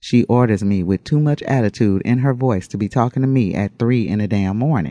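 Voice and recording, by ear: This is reading aloud in a natural voice with ordinary pitch variation.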